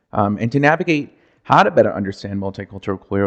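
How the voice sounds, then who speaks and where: Loud and with an American accent, a man's voice swings very widely in pitch. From United States, Mexican-American upbringing. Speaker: podcast host. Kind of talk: solo podcast monologue. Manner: loud and expressive.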